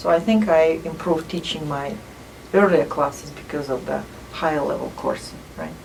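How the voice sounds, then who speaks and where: A woman with a non-native accent speaks at a moderate pace and a fairly low pitch, with ordinary pitch variation. Noticeable background noise and audible room echo fill the recording. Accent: foreign. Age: 50s. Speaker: math professor. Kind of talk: interview. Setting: office.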